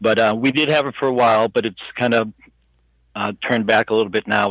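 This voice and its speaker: An unremarkable speaking voice with an American accent moves at a fairly quick pace with fairly even intonation. The recording is very clean, with a silent background. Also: man. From Boston area, Massachusetts. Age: 60s. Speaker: alien abduction experiencer. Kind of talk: interview. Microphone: headset mic, poor quality.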